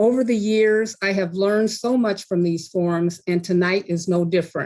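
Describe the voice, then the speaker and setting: A woman talks at a moderate pace in an ordinary speaking voice. Her pitch is medium, with ordinary variation. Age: 60s. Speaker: patient advocate. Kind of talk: prepared talk.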